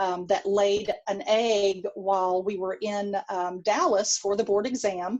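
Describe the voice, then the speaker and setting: With fairly even intonation, a woman's voice sits at a medium pitch. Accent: Texan. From Texas. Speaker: pediatric dentistry professor. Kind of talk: lecture. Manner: hesitant, many fillers.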